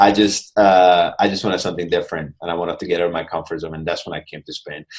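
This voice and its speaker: A man with a very deep, low pitch speaks at a very fast pace in a monotone, flat intonation, with big swings in loudness. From Hungary, Budapest. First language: Hungarian. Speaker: mindfulness coach. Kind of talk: interview.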